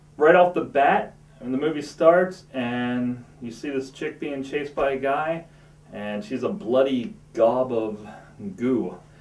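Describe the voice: A man speaks at a slow pace. Room echo is audible. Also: medium pitch for a man, ordinary pitch variation, slightly mellow tone.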